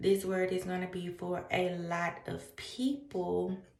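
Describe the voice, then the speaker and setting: Noticeable background noise and audible room echo surround a woman as she speaks. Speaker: spiritual vlogger. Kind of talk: spiritual message to camera. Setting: at home at night. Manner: quiet, trying not to talk loud.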